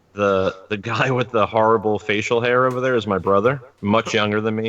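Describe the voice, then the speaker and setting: An American accent from a man, fairly low in pitch, monotone and flat, at a moderate pace. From US Northeast, New York (Long Island). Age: 40s. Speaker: podcast co-host. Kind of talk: casual chat. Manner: halting.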